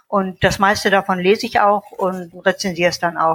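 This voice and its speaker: A woman of medium pitch speaks with fairly even intonation in a dry, close sound with no echo. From North Rhine-Westphalia, Germany. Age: 60s. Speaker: author and editor. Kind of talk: casual interview. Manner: hesitant, many fillers.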